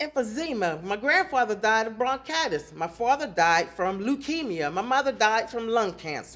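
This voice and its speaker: In a Pittsburgh accent, a woman talks at a moderate pace with hardly any pauses. Her pitch swings very widely. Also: fairly high pitch for a woman. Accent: Western Pennsylvania (Pittsburgh). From Pennsylvania, Pittsburgh area (Clairton). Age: 60s. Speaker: community resident giving public comment. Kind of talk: public hearing testimony.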